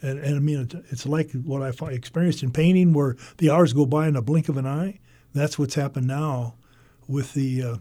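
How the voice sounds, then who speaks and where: In a very clean recording with a silent background, a voice with an American accent and a dark, mellow, somewhat breathy tone moves at a fairly quick pace with fairly even intonation. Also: man. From Iowa, US Midwest. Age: 80s+. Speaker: painter. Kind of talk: interview. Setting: radio studio.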